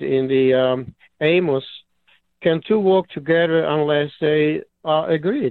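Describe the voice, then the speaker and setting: Speaking slowly-ish at a fairly slow pace, a man with a Serbo-Croatian accent uses a fairly high pitch with ordinary pitch variation. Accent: Yugoslav (Serbo-Croatian). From Yugoslavia. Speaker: caller. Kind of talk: call-in comment. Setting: phone call. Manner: halting.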